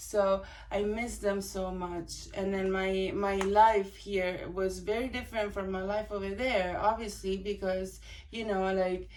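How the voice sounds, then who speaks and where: Speaking with an Italian accent, a woman uses medium pitch and monotone, flat intonation at a fairly slow pace, with audible room echo and noticeable background noise. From Italy. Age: 20s. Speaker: vlogger. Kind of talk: casual personal vlog. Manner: hesitant, many fillers.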